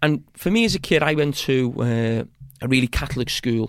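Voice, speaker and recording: A man with a Liverpool accent speaks at a moderate pace, his medium pitch showing ordinary variation. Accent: Scouse (Liverpool). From Bootle, Merseyside, England. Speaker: former footballer and TV pundit. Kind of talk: casual interview chat. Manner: halting, with frequent repetitions.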